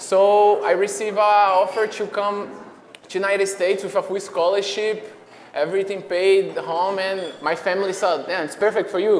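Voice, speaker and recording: The speaker talks at a fairly quick pace with a Brazilian accent. The intonation is monotone and flat, with noticeable background noise. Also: man. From Brazil, Fortaleza (northeast). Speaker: professional soccer player. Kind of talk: interview. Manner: casual, halting with fillers.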